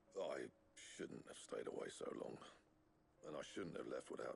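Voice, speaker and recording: A man puts on a character voice at an extremely high pitch, raspy in texture. He keeps a moderate pace over clear background noise. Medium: video game. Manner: gruff, plainspoken.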